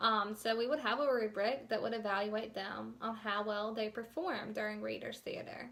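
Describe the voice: With a fairly high pitch and vocal fry, a woman talks at a moderate pace in a fairly bright tone, her intonation fairly even, and audible room echo surrounds her.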